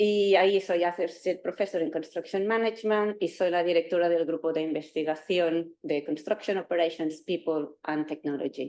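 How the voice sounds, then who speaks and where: Speaking in a Catalan accent at a moderate pace, a woman keeps a fairly even intonation and a dark, mellow tone. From Catalonia, Spain (Terrassa, near Barcelona). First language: Catalan (speaking Spanish). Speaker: university professor. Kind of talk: lecture. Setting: lecture hall with live and online audience. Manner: halting.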